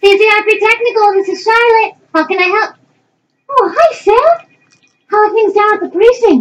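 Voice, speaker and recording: A woman's put-on character voice, squeaky and extremely high in pitch, with ordinary pitch variation, a moderate pace and long, frequent pauses. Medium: stage play. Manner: warm, hesitant, stammering.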